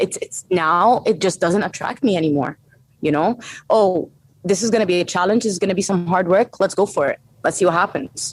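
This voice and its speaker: Speaking with an Arabic accent, a woman at a medium pitch talks at a fairly quick pace with ordinary pitch variation. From Saudi Arabia (Egyptian family). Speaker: strength and conditioning coach. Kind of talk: interview conversation.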